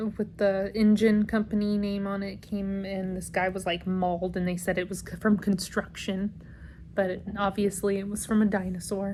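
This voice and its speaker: A woman's somewhat breathy voice in a monotone, flat intonation. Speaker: book vlogger. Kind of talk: casual vlog chat. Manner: hesitant with many ums.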